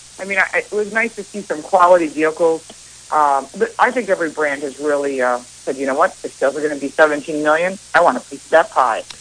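Over noticeable background noise, a woman with a very deep, low voice talks very fast, her pitch varying normally while her loudness swings widely. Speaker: car expert guest. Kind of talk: friendly radio phone interview.

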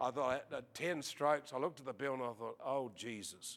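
A man speaks with an Australian accent at a fairly quick pace. His tone is animated. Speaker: preacher. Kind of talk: sermon. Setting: church with audience.

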